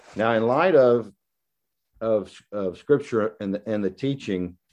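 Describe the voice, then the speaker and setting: A man with a Southern US accent, fairly slow pace and ordinary pitch variation. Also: quiet background. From US South. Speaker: guest preacher. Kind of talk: sermon. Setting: video call. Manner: halting, with many repetitions and fillers.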